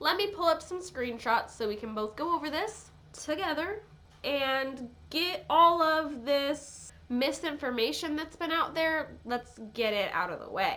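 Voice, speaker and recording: Projecting her voice, a woman speaks at a high pitch with lively intonation. Her pace is fairly slow. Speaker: YouTuber. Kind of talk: casual commentary vlog. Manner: casual.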